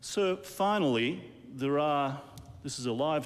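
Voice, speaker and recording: A man speaks at a fairly slow pace with an Australian accent. Room echo is audible. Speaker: television interviewer. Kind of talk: interview. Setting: live television.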